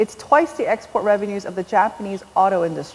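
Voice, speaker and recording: A normal speaking voice carries lively intonation. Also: woman. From South Korea, raised in US from age seven. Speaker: novelist. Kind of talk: onstage author conversation. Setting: stage with large audience.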